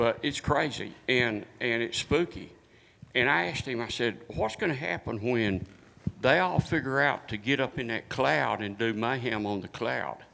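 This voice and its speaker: A man speaks in a Texas accent at medium pitch. His pace is moderate and his pitch varies in an ordinary way. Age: 70s. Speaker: military veteran audience member. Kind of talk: audience comment.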